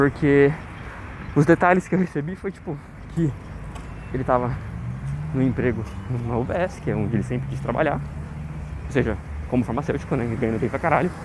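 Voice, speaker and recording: A man's voice at a moderate pace with long, frequent pauses and very wide pitch swings, over noticeable background noise. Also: medium pitch for a man. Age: 20s. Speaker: diary podcaster. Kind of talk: personal audio diary monologue. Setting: outdoors, walking home.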